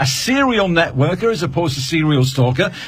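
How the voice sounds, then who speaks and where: Noticeable background noise sits behind a man who speaks at a fairly quick pace and a fairly high pitch with very wide pitch swings. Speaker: radio presenter. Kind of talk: live radio show hosting. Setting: studio. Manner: fast.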